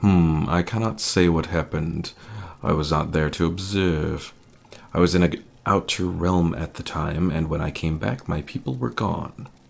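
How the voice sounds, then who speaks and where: In a put-on character voice, a man speaks with a very deep, low pitch. The voice is raspy and the pace moderate. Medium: actual play. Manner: formal, lofty, disdainful.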